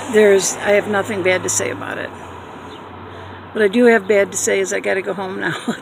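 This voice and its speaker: The speech comes at a fairly slow pace. The sound is dry with no echo, and there is light background noise. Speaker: vlogger. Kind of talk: casual vlog chat. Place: car. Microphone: phone near.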